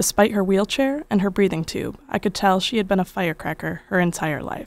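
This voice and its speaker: Medium in pitch, a woman speaks in an unremarkable speaking voice at a fairly quick pace with ordinary pitch variation. The recording is very clean, with a silent background. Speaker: documentary narrator. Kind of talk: documentary narration.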